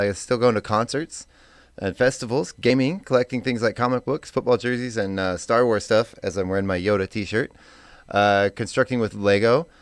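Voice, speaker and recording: At a fairly quick pace, a man speaks in a plain, everyday voice of medium pitch with ordinary pitch variation, in a very clean recording with a silent background and a dry, close sound with no echo. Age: 40s. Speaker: radio host. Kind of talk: casual chat.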